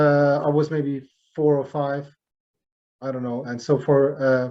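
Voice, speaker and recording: Slowish and monotone, a man with a German accent speaks at a fairly high pitch and a fairly slow pace. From Germany. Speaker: jazz drummer. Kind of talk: interview. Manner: halting, many fillers.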